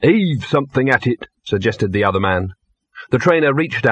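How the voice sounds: The reading voice sounds natural. Nothing much is heard in the background.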